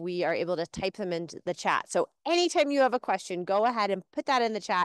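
Speaking very fast with hardly any pauses, a woman uses lively intonation, and the sound is dry with no echo over a quiet background. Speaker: education program host. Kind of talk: live virtual class hosting. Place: open country.

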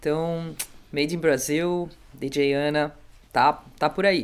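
A woman with a very deep, low pitch speaks with ordinary pitch variation. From Brazil. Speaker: music show host; podcast host. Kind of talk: casual interview. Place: studio. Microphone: studio mic.

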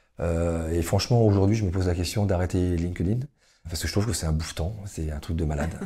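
A man speaks very fast in a very deep, low voice with a dark, mellow tone. His intonation stays fairly even, a bit breathy, with audible room echo. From western France (Le Mans, Niort, Nantes). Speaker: entrepreneur. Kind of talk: interview. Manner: hesitant, many fillers.

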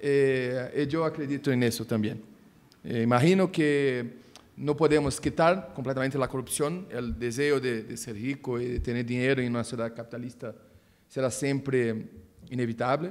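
The man's medium-pitched voice shows ordinary pitch variation and keeps a moderate pace. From Brazil. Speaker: prosecutor; speaker. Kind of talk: conference talk. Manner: halting. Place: meeting room. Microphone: podium.

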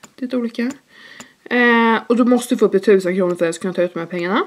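Her pitch varies in an ordinary way. The woman's voice sits fairly high. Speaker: YouTuber and student entrepreneur. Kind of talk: vlog. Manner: casual, many fillers. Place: home room. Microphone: camera far.

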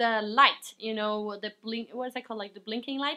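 Against a quiet background, a woman's raised, projected voice has a bright, sharp tone. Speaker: vlogger. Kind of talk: casual vlog chat. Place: home room. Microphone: camera far.

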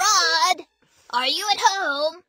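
A woman performs a put-on character voice at an extremely high pitch with a bright, sharp tone and ordinary pitch variation. She goes at a very slow pace while faint music plays in the background.

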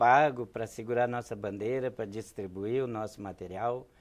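A man is speaking. The background is quiet. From Rio Grande do Sul, Brazil. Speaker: political candidate, trade unionist; candidate. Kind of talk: TV interview. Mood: earnest political argument. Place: studio. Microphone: lapel.

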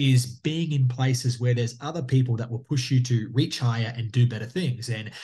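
A man talks at a fairly quick pace in a dark, mellow, somewhat breathy tone. His intonation stays fairly even, with hardly any pauses. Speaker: guest. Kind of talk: interview answer. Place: home room. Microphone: video call.

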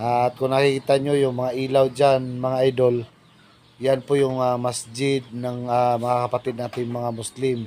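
A man of medium pitch talks at a fairly slow pace in a monotone, flat intonation. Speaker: vlogger. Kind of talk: casual vlog narration. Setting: outdoors.

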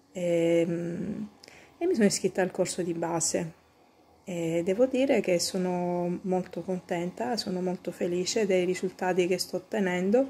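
A woman speaks at a fairly slow pace in a dark, mellow tone with ordinary pitch variation. Her pauses are long and frequent. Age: 40s. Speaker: homemaker, online pastry course student. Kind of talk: testimonial. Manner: hesitant, many fillers. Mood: warm, satisfied. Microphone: phone near.

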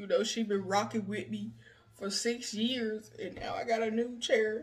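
A woman speaks at a fairly slow pace in a fairly high pitch, her intonation fairly even and her voice carrying a slightly husky edge.

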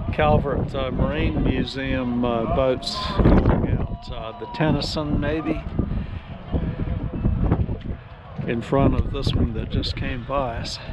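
Speech comes at a very slow pace with long, frequent pauses, the sound dry with no echo and the background noise loud. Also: man. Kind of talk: casual vlog commentary. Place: boat. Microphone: phone near.

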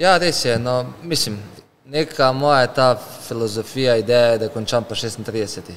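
Ordinary pitch variation from a man, with light background noise behind. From Slovenia. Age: 30s. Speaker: professional footballer; guest. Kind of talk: casual interview chat. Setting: car showroom. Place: shop. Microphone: studio mic.

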